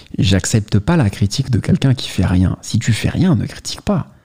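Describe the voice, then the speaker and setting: The man's pitch swings very widely while his delivery holds a moderate pace. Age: 30s. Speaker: YouTuber, watch enthusiast. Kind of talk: casual vlog monologue. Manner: casual, addresses listener directly.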